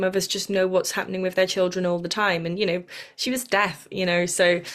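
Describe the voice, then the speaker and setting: A woman speaks at medium pitch and a moderate pace. Her intonation stays fairly even. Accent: Welsh. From South Wales. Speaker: podcast host, spiritual teacher. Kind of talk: casual chat. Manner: halting.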